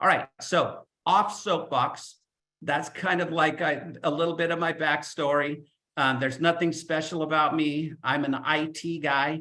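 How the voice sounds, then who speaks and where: Fairly slow speech from a man with a fairly high pitch and a bright, sharp tone. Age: 60s. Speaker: life insurance agent. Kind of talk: webinar talk. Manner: animated.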